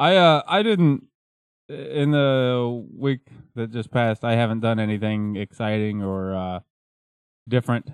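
Speaking at a fairly slow pace with long, frequent pauses, this man has a medium pitch and ordinary pitch variation. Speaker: podcast host. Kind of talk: casual banter, joking chat. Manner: joking, rambling, improvisational.

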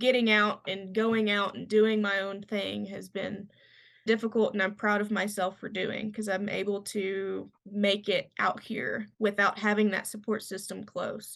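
Spoken at a fairly slow pace in a Kentucky accent, the voice has a monotone, flat intonation over a quiet background. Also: woman, medium pitch for a woman. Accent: US Southern (Kentucky). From Western Kentucky. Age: 20s. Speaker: fly fishing guide. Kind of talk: casual chat.

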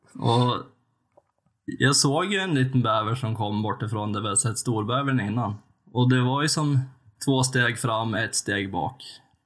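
A man uses a normal speaking voice in a medium pitch with ordinary pitch variation. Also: fairly slow pace. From Sweden, western Jämtland. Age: 30s. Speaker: podcast co-host, hunter. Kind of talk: casual chat.

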